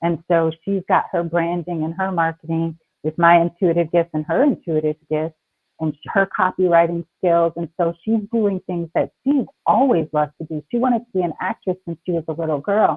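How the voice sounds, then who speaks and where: A woman speaks in a fairly low pitch at a moderate pace, with ordinary pitch variation. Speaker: spiritual healer and author. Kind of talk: interview on live stream. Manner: calm.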